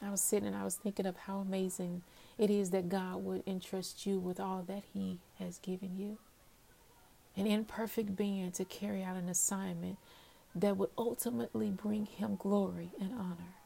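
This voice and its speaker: In a dark, mellow, somewhat breathy voice of medium pitch, a woman talks at a moderate pace with fairly even intonation. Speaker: podcast host. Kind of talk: devotional monologue. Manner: hesitant fillers.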